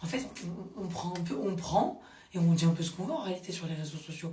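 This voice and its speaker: A woman speaks in an animated tone, with audible room echo and noticeable background noise. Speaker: social media commentator. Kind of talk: casual vlog commentary.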